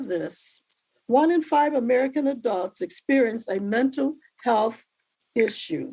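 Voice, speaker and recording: Her voice high-pitched with a dark, mellow tone, a woman talks at a fairly slow pace with lively intonation. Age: 80s. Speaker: minister and family member of the defendant. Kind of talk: prepared statement at a court sentencing.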